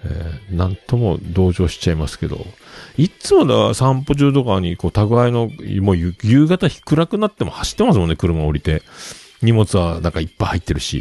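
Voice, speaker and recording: At a moderate pace, a man speaks with a fairly low pitch and a dark, mellow tone. His pitch swings very widely. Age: 50s. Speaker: podcast host. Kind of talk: casual solo talk. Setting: home studio.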